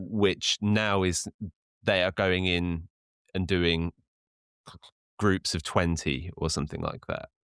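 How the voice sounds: A man speaks slowly at a low pitch with lively intonation, a fairly bright, clear, smooth tone, and long, frequent pauses. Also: dry, close sound with no echo.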